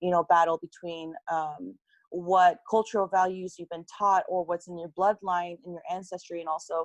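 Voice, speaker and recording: A woman with a Californian accent speaks in a fairly low voice with fairly even intonation. The sound is dry and close, with no echo. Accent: Californian American English. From California, US (Korean-American family). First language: Korean. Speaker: youth activist. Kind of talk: interview.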